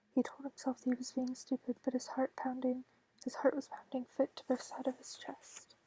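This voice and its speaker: Whispering and soft-spoken, the voice moves at a fairly quick pace. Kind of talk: audiobook reading. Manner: soft-spoken, whispered.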